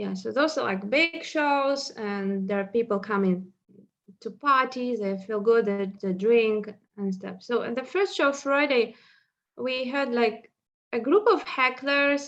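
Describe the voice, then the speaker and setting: A woman with a Russian accent and lively intonation. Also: fairly high pitch for a woman. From northwestern Russia. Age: 30s. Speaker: stand-up comedian. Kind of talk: casual chat.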